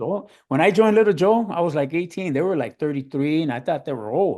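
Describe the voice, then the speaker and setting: Against a quiet background, a man with an American accent talks at a very fast pace and fairly high pitch. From Los Angeles, San Fernando Valley. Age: 60s. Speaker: drummer. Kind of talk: interview, casual chat. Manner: casual, hesitant with repetitions.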